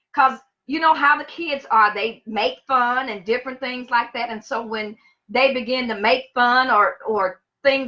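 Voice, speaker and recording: A woman with a Louisiana accent projects a raised voice, bright and sharp in tone and high in pitch, at a moderate pace. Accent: Southern US (Louisiana). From US South, Monroe, Louisiana. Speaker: teacher. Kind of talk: personal storytelling on livestream.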